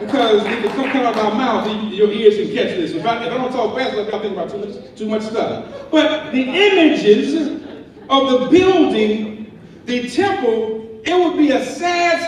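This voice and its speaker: Amid noticeable background noise and audible room echo, a man with an extremely high pitch speaks at a moderate pace with lively intonation. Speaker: preacher. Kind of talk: lecture. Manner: animated.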